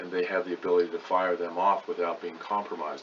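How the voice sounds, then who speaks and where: A man's voice against noticeable background noise. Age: 60s. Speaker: veterinarian. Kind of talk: lecture.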